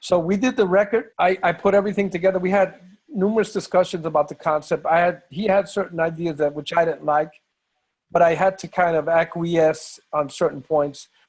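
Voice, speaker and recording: Talking at a fairly quick pace, a man uses a high pitch and a strong New York accent. His intonation is fairly even. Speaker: bandleader and musician. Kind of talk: interview.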